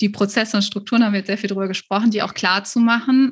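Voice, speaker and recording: Ordinary pitch variation in a plain, everyday voice from a woman, pitched fairly high. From Germany, Cologne. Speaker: virtual assistance business coach. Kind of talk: interview.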